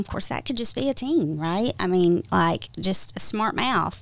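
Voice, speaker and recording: A woman of medium pitch speaks with a Southern US accent on a very clean recording with a silent background. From US South, Georgia. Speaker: trauma therapist. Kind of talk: interview. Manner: hesitant, many fillers.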